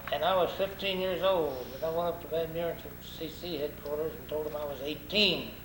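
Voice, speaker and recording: Over noticeable background noise and audible room echo, a man with a rural Arkansas accent speaks at a fairly quick pace, his fairly high-pitched voice holding a fairly even intonation. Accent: rural Arkansas Southern. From US South, Arkansas (Crawford County). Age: 80s+. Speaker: war veteran. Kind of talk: oral history interview. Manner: halting, repeats words.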